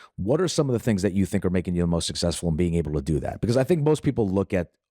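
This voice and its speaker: The man's voice has a dark, mellow tone and lively intonation, recorded with a dry, close sound and no echo. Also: very clean recording, silent background. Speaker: podcast host, wealth manager. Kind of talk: interview. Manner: loud.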